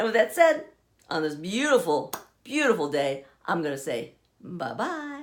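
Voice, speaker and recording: A woman with a warm tone and vocal fry at a fairly high pitch, moderate pace, very wide pitch swings and long, frequent pauses. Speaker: vlogger. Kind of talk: casual monologue to camera. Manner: warm, encouraging.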